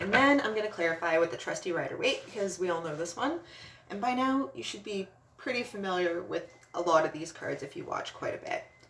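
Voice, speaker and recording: Amid noticeable background noise, a woman of medium pitch talks at a fairly quick pace with very wide pitch swings. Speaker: tarot reader. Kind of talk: tarot reading video. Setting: at home. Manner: casual, chatty.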